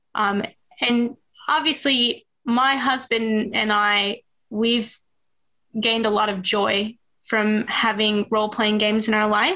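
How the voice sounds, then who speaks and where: A woman's fairly high, bright and sharp voice at a fairly slow pace, with monotone, flat intonation. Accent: American. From US Midwest, Duluth, Minnesota. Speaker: game writer and parent gamer. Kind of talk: casual interview.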